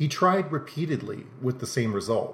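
At a moderate pace, a man speaks with ordinary pitch variation and a somewhat breathy voice. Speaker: podcast host narrating mysteries. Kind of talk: scripted narration.

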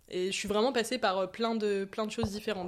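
A woman with fairly high pitch and fairly even intonation speaks in an ordinary speaking voice. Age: 20s. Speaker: medical student. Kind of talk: casual interview.

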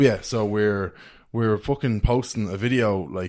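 Against a quiet background, someone speaks at a moderate pace with an Irish accent. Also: man. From Ireland, County Meath. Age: 20s. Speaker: social media content creator. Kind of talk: casual chat. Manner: animated.

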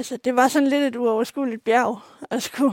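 Over a very clean recording with a silent background, a woman speaks at a moderate pace in a high pitch with monotone, flat intonation. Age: 20s. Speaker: visually impaired student. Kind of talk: interview. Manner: hesitant, many fillers.

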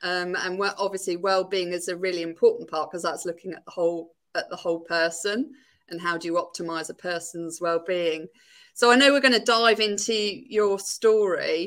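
A plain, everyday voice shows ordinary pitch variation and big swings in loudness, in a very clean recording with a silent background. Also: woman, medium pitch for a woman, moderate pace. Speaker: podcast host. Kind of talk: interview conversation.

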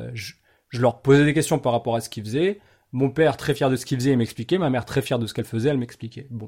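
On a very clean recording with a silent background, a man talks very fast in a somewhat breathy, dark, mellow tone at a medium pitch, with ordinary pitch variation. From Paris region, France. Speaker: podcast host. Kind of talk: casual interview chat.

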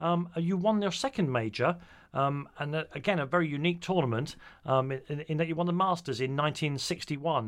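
A man with a British accent, fairly high in pitch, at a fairly quick pace with ordinary pitch variation, on a very clean recording with a silent background. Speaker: radio host. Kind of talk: interview.

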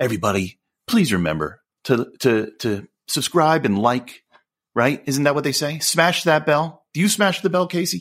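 On a very clean recording with a silent background, a man with a fairly high pitch and vocal fry moves at a moderate pace through very wide pitch swings. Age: 40s. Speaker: podcast co-host. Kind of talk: casual chat.

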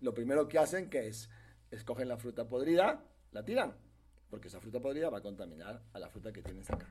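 With vocal fry and big swings in loudness, a man talks at a very fast pace. His pitch is medium and his intonation lively. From Peru. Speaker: real estate sales director. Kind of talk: casual interview.

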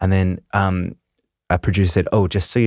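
A man with a New Zealand accent speaks at a fairly quick pace, his very deep, low voice holding fairly even intonation. The very clean recording is dry and close with no echo and a silent background. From New Zealand, Christchurch. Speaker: dancer and choreographer. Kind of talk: casual interview chat. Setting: studio.

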